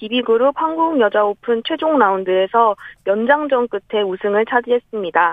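A woman speaks with lively intonation at a moderate pace. Her pitch is high. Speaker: golf reporter. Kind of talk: radio sports report.

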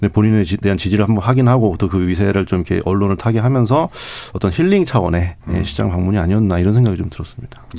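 A man with a fairly low pitch and ordinary pitch variation talks at a very fast pace amid noticeable background noise. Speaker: newspaper reporter. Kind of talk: radio panel discussion.

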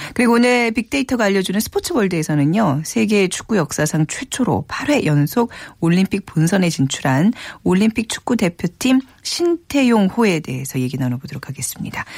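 A woman with a medium pitch speaks at a moderate pace, somewhat breathy, her pitch swinging very widely in a dry, close sound with no echo. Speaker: radio host. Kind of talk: radio show hosting. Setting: studio.

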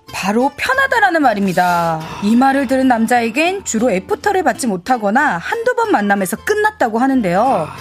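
High-pitched female voice at a moderate pace with very wide pitch swings, very even loudness and hardly any pauses, music in the background. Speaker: comedian. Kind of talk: casual chat. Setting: studio.

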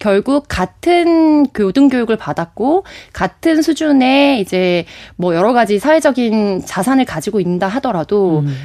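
Dry and close with no echo, a woman's dark, mellow voice moves at a fairly slow pace, her fairly high pitch swinging very widely. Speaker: political commentator. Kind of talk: radio panel discussion. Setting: studio.

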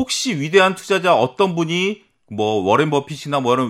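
At a moderate pace, a man talks in an animated tone with very wide pitch swings, on a very clean recording with a silent background. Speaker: economics research institute head, former securities firm. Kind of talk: casual studio talk on investing. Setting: studio.

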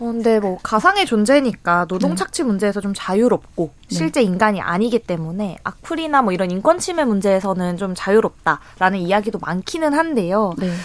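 With a plain, everyday voice, a woman speaks at medium pitch and a fairly quick pace, using lively intonation and hardly any pauses. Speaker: youth trend researcher. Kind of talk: radio talk segment.

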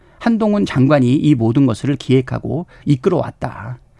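Somewhat breathy and dark, mellow in tone, a man's medium-pitched voice moves through very wide pitch swings at a moderate pace. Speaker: politician. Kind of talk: radio interview.

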